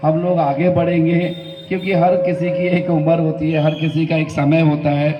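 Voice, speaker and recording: Amid noticeable background noise and audible room echo, a man talks at a fairly high pitch and fairly slow pace in a monotone, flat way. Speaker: community organizer and shopkeeper. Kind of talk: public speech.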